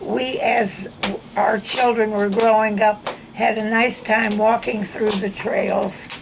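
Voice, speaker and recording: Amid noticeable background noise, a woman speaks at a very slow pace with monotone, flat intonation. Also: fairly high pitch for a woman. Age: 80s+. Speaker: longtime neighborhood resident. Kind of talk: oral history interview answer.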